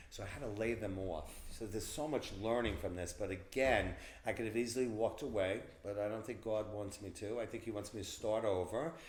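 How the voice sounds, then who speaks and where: Somewhat breathy man with a Long Island accent, fairly low in pitch, fairly even in intonation, with audible room echo. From Long Island, New York. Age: 60s. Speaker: event planner. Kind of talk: interview. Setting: in person. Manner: halting.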